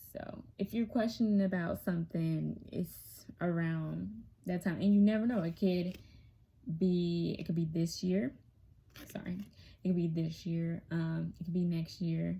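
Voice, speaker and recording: This woman's fairly low voice has a dark, mellow tone and a somewhat breathy quality, moving at a fairly slow pace with ordinary pitch variation. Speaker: tarot reader. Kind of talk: tarot reading. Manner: casual with many fillers.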